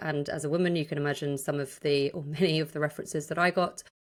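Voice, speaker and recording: A woman with a British accent talks at a fairly quick pace in a very deep, low pitch. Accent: sounds British despite being Irish. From Ireland. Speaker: sports journalist and podcast host. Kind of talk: podcast discussion. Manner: animated.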